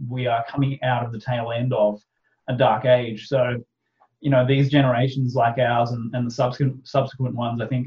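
An Australian accent marks this man's somewhat breathy voice. His pitch is medium, and his intonation stays monotone and flat. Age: 30s. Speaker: author and podcaster. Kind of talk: casual interview chat.

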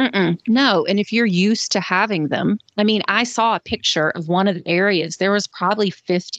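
A woman with a Southern US accent talks at a moderate pace, with hardly any pauses. Her medium pitch shows ordinary variation, and the sound is dry and close with no echo. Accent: Southern US, mild. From Georgia, US South. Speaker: co-host. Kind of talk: casual chat.

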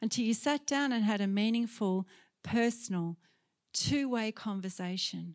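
A woman in an Australian accent, medium-pitched with ordinary pitch variation, at a fairly slow pace, with a dry, close sound and no echo on a very clean recording against a silent background. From Australia, Sydney. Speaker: guest preacher. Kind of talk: sermon. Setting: church.

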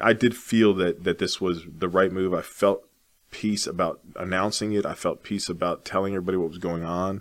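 A man with a very deep, low pitch talks at a fairly quick pace in a monotone, flat intonation. The recording is very clean, with a silent background. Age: 40s. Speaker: realtor. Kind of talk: casual interview. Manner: halting, many repeated words.

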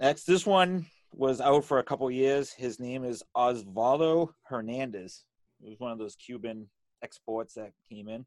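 In a Boston accent, a man talks at a fairly slow pace with medium pitch and ordinary pitch variation on a very clean recording with a silent background. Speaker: sports autograph collector. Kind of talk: casual chat. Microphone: good microphone, newly set up.

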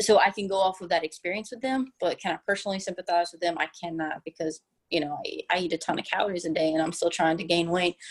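A woman's fairly low-pitched voice at a very fast pace. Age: 30s. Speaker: personal trainer. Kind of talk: interview.

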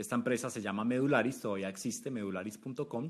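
A man with a medium pitch talks very fast, using ordinary pitch variation. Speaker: startup founder and CEO. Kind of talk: interview.

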